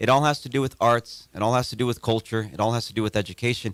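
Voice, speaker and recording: On a very clean recording with a silent background, a man speaks at a very fast pace with ordinary pitch variation in a dry, close sound with no echo. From California, US (San Jose), born in Mexico. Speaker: playwright and arts educator. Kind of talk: interview. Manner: halting, with many repeated words.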